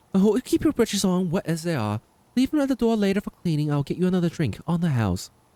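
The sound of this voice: The unforced reading voice carries lively intonation.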